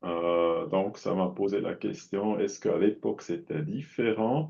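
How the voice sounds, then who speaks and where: Speaking at a fairly slow pace, a man has a fairly low pitch and a non-native accent. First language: not French (speaking French). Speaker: audience member asking questions. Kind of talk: Q&A questions. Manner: halting.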